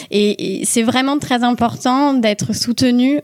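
A woman's pitch rises and falls in an ordinary way. Her voice sounds dry and close, without any echo. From Toulouse, southern France. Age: 30s. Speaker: parliamentary aide and local councillor. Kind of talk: casual interview. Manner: halting, many fillers.

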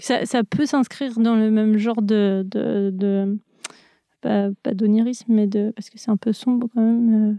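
A woman with a dark, mellow tone speaks in a monotone, flat intonation, the sound dry and close with no echo. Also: fairly high pitch for a woman, fairly slow pace, big swings in loudness. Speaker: animator and storyboard artist. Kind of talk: interview. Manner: halting.

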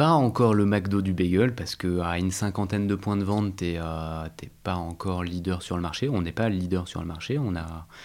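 A man's very deep, low voice at a moderate pace with ordinary pitch variation and hardly any pauses, in a very clean recording with a silent background. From Paris region, France. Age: 30s. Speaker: entrepreneur. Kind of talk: interview. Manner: halting.

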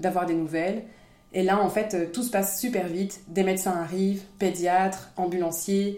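A woman's medium-pitched voice, monotone and flat in intonation, at a moderate pace with audible room echo. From France. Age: 30s. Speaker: mother of a child with a rare disease, founder of an inclusive playground. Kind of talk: interview, personal testimony.

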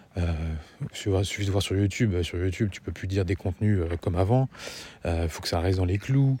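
A man speaks with a very deep, low pitch and ordinary pitch variation. His tone is dark and mellow, and somewhat breathy. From France, grew up in a housing estate. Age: 40s. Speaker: podcast host, parenting. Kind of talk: solo monologue podcast. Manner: fast, swallows words; soft-spoken late in recording.

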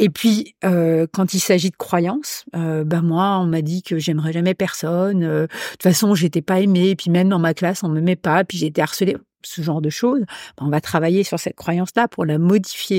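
A woman's dark, mellow voice at a fairly low pitch, moderate pace and fairly even intonation, dry and close with no echo, in a very clean recording with a silent background. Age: 60s. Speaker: hypnotherapist. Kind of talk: casual chat.

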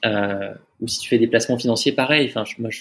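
There's vocal fry in this man's medium-pitched voice. He speaks at a moderate pace with fairly even intonation. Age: 30s. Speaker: startup founder and CEO. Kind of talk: casual interview.

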